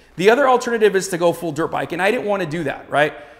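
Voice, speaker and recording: The voice shows ordinary pitch variation. There is noticeable background noise. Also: man. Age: 40s. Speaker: motorcycle vlogger. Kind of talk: casual product review to camera. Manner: filler-heavy, repeats words.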